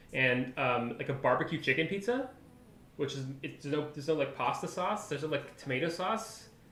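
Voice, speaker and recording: A man with a Canadian accent speaks at a fairly high pitch. His pitch varies in an ordinary way, and audible room echo surrounds the voice. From Canada. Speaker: software developer live streamer. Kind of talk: live coding stream chat. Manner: casual, animated.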